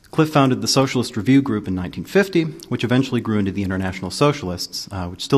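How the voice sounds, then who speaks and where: Speech pours out of a male speaker at a very fast pace. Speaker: panel moderator. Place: hall.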